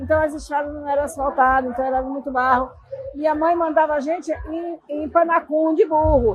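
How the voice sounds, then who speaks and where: The woman's pitch is high, with fairly even intonation. She moves at a moderate pace. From Brazil, southern Bahia (Ibirataia). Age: 60s. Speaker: ceramic sculptor. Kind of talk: interview. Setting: podcast booth at a chocolate festival.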